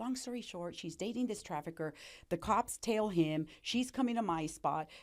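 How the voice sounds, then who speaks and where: A woman talks at a moderate pace in a plain, everyday voice. Her intonation is lively, and her pitch sits at a medium level. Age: 60s. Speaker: recovered addict and entrepreneur. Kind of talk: interview testimony.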